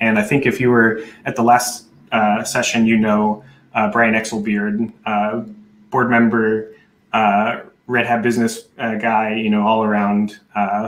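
In a room with audible echo, a man speaks at a fairly slow pace in a monotone, flat intonation, with long, frequent pauses. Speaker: conference presenter. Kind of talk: presentation talk. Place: home room. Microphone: video call.

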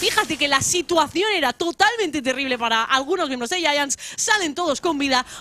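Music plays behind a woman who speaks in a raised, projected voice with hardly any pauses. Her tone is animated and her intonation lively. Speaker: esports caster. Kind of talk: live esports commentary. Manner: fast, breathless play-by-play, animated; witty, jokes with magic-school and fable references.

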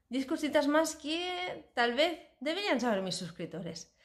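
A woman at a moderate pace with very wide pitch swings, over noticeable background noise. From Spain. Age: 40s. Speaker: cooking YouTuber. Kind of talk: casual vlog introduction. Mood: warm, cheerful. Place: home room. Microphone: phone near.

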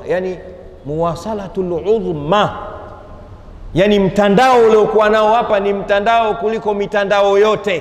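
A man's high voice in a room with audible echo, fairly even in intonation and moderate in pace. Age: 50s. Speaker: Islamic preacher. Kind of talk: sermon. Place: hall. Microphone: lapel.

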